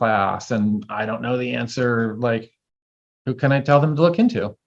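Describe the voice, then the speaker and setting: Here a man speaks at medium pitch. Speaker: herbalism teacher. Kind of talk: casual chat. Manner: fast.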